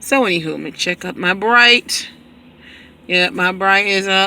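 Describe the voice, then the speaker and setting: A woman of medium pitch speaks at a fairly slow pace, her bright, sharp tone showing ordinary pitch variation. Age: 40s. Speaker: vlogger. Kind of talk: casual vlog monologue. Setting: in a parked car.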